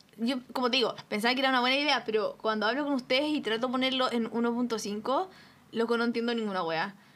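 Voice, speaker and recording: A woman's high voice at a very fast pace with very even loudness. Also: ordinary pitch variation. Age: 20s. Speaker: podcast co-host. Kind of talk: casual chat.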